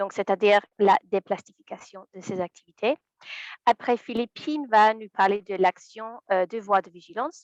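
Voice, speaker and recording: With an English accent, a woman speaks at a moderate pace in a medium-pitched voice with fairly even intonation, in a dry, close sound with no echo and a quiet background. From England. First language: English (speaking French). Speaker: environmental lawyer. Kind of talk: webinar presentation. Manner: hesitant, many fillers.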